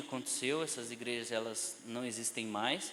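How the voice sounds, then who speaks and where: A man speaks with a bright, sharp tone. Audible room echo surrounds the voice. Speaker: Bible teacher. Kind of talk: lecture.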